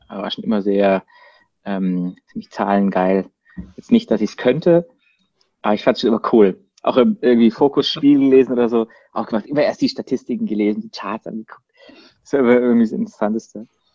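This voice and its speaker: This man has a dark, mellow tone, a Baden accent and ordinary pitch variation, talking at a fairly quick pace with long, frequent pauses. The sound is dry and close, with no echo. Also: medium pitch for a man. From Baden, southwest Germany (Freiburg). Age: 30s. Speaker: marketing agency co-founder. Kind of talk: casual chat. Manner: halting, many fillers.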